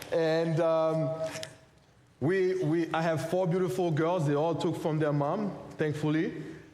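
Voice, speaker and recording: A man's fairly high, monotone, flat voice with very even loudness, long, frequent pauses, and audible room echo. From Haiti. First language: French or Haitian Creole. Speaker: pastor and missionary. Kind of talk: sermon.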